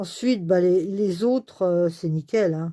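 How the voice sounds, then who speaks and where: At a fairly slow pace, the dark, mellow voice shows ordinary pitch variation on a very clean recording with a silent background. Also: woman. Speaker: scrapbooking crafter. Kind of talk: casual craft review to camera.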